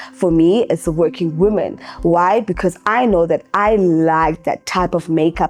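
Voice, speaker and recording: Music sits in the background behind a woman's voice. Her pitch is fairly low, with ordinary pitch variation. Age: 30s. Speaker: makeup artist and beauty educator. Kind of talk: casual talk to camera. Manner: conversational, with many fillers.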